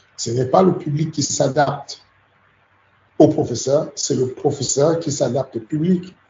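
Somewhat breathy and fairly high-pitched, a man talks at a fairly slow pace with fairly even intonation and long, frequent pauses. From Cameroon. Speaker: MMA coach. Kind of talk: interview. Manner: halting.

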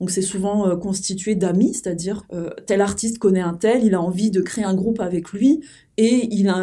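Talking at a fairly slow pace, a woman has a medium pitch and a dark, mellow tone. Her intonation stays fairly even. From France, small village. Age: 30s. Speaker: graffiti artist. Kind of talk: podcast interview.

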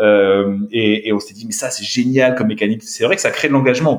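A man talking at a fairly quick pace. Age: 30s. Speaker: startup co-founder. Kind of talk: interview. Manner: halting.

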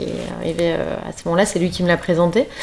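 A woman talks at a fairly quick pace. Her medium-pitched voice comes with noticeable background noise. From northern France, Lille. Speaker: fashion brand founder. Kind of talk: interview. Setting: at home.

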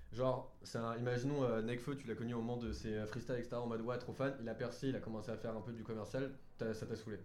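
Delivered at a very fast pace in a monotone, flat intonation, the speech carries audible room echo. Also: man, medium pitch for a man. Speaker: podcast host. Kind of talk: casual chat.

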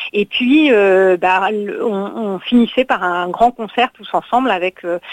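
A woman speaks in a plain, everyday voice of medium pitch with ordinary pitch variation. The sound is dry and close, with no echo. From Normandy, France. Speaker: festival founder and director. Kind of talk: interview.

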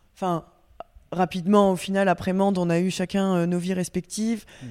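On a very clean recording with a silent background, a woman speaks at a moderate pace and medium pitch with a dark, mellow tone and monotone, flat intonation. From Normandy, France. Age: 30s. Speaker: guest. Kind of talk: casual chat.

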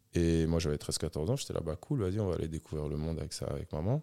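Over a silent background in a very clean recording, a man with a very deep, low pitch and a dark, mellow tone speaks at a fairly quick pace with ordinary pitch variation, the sound dry and close with no echo. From Switzerland, Geneva area. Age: 40s. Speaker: DJ. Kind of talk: casual interview chat. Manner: casual, many fillers.

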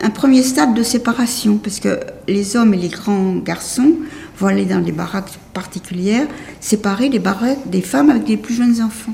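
Noticeable background noise behind a woman at a moderate pace, her pitch fairly high and ordinary in variation. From Paris, France. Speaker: Holocaust survivor. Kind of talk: testimony. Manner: halting.

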